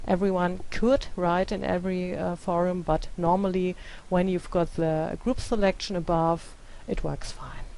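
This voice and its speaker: A woman with a non-native accent speaks at a fairly slow pace and medium pitch. Her tone is dark and mellow, with fairly even intonation. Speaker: teacher. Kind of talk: tutorial. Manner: hesitant, many filler sounds.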